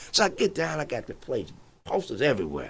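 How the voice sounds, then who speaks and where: With an American accent, a man talks at a fairly quick pace in a bright, sharp tone touched with vocal fry. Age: 60s. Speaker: entrepreneur. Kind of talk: casual chat. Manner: halting.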